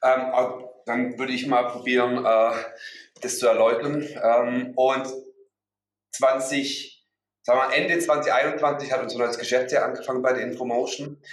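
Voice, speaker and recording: A man talks at a fairly slow pace in a medium pitch, with monotone, flat intonation and long, frequent pauses. Audible room echo is present. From Swabia, southern Germany. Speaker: recruiting manager. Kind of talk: interview.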